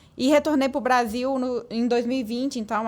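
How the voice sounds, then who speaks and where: A woman with a strong Minas Gerais accent talks at a moderate pace with fairly even intonation. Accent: strong Minas Gerais (mineiro). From Brazil, Minas Gerais (Patos de Minas). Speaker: business consultant. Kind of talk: podcast interview.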